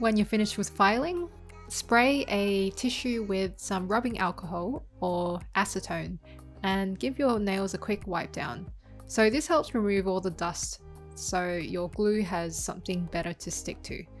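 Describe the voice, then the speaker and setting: With music in the background, a woman of medium pitch speaks at a fairly slow pace with ordinary pitch variation. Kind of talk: beauty tutorial voiceover.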